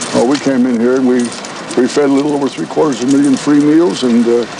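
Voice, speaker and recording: Over noticeable background noise, a man with a medium pitch talks at a very fast pace with fairly even intonation. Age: 80s+. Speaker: former resort owner and radio evangelist. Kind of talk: impromptu speech to a crowd.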